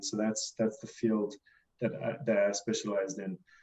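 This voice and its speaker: This man speaks at a moderate speed. His tone is dark and mellow. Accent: slight South African. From South Africa. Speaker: cost consultant, quantity surveyor. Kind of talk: webinar interview.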